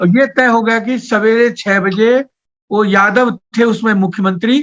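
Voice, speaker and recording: The man's high-pitched voice holds a very even loudness, recorded with a dry, close sound and no echo. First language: Maithili (speaking Hindi). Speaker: poet and writer. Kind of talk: interview. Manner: halting.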